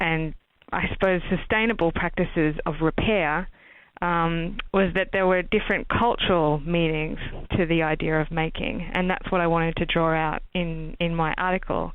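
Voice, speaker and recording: With an Australian accent, a woman talks at a moderate pace in a fairly low pitch, her intonation fairly even and her loudness very even. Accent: Australian accent, noticeable. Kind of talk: interview. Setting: podcast.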